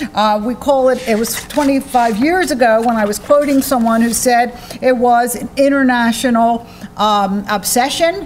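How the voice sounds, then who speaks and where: Loud and high-pitched, a woman speaks at a moderate pace with ordinary pitch variation, amid audible room echo and noticeable background noise. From United States. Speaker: psychology professor. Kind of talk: lecture.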